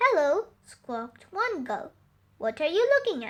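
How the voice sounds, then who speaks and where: Putting on a character voice, a woman speaks at an extremely high pitch and a fairly slow pace, with very wide pitch swings. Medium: read story. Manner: squawking, taunting.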